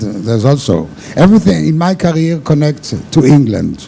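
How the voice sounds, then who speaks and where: Against noticeable background noise, a man speaks at a fairly slow pace with lively intonation. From Israel. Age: 60s. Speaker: cruise ship cocktail pianist. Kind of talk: interview.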